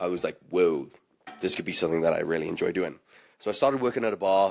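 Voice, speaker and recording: With a South African accent, a man speaks at a very fast pace. His pitch is very deep and low. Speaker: bartender. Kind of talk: casual chat.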